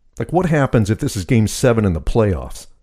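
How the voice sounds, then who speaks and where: A man's dark, mellow voice with vocal fry, very wide pitch swings and a moderate pace. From rural area. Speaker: solo podcast host. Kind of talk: casual monologue.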